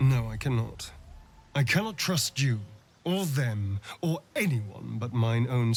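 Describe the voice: The reading aloud is plain, with intonation that moves in a lively way.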